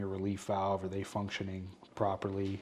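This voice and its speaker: With a New York accent, a man speaks in a fairly low pitch. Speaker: plumber. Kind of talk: podcast interview. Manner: hesitant fillers.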